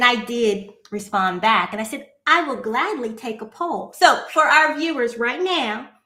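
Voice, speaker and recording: A woman speaks with a high pitch at a fairly slow pace. Her tone is animated and her intonation lively. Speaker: podcast host. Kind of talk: casual chat. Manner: slightly slurred speech.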